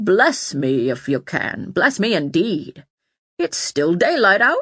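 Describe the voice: Putting on a gruff character voice at a middle pitch, the speaker goes at a fairly slow pace with very wide pitch swings.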